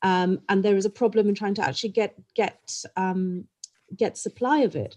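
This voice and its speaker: Recorded dry and close with no echo, a woman talks at a moderate pace in an unremarkable speaking voice, medium in pitch with ordinary variation. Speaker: clothing brand executive, panelist. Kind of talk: panel discussion. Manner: frequent ums.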